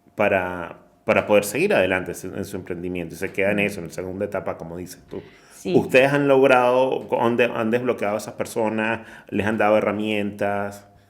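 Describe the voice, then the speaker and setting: In a normal speaking voice pitched fairly low, a man talks at a fairly quick pace with ordinary pitch variation and big swings in loudness. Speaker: podcast host. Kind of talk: interview question.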